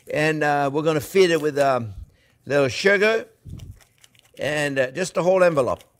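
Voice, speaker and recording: A man with a French accent, lively intonation, and a quiet background. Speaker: chef. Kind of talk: cooking demonstration to camera. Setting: kitchen. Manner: upbeat, enthusiastic. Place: kitchen. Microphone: lapel.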